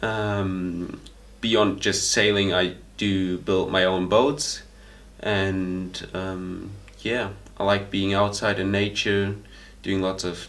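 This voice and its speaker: A man's very slow, flat monotone at a fairly low pitch, with audible room echo. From Germany. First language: German. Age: 20s. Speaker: volunteer. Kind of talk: interview testimony. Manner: hesitant, many fillers.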